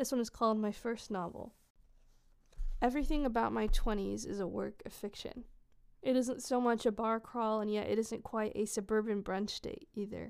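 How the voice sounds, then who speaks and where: This woman's voice is fairly high. She keeps a fairly even intonation. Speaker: podcast host. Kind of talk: poem reading aloud, slow and reflective, in a soft intimate tone. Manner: casual, halting, with many filler words and restarts.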